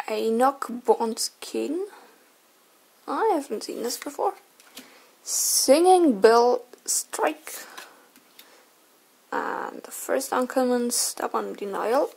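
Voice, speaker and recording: Speaking with a German accent at a very slow pace, the voice leaves long, frequent pauses against noticeable background noise. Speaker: card collector and artist. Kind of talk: unboxing commentary. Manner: casual, hesitant.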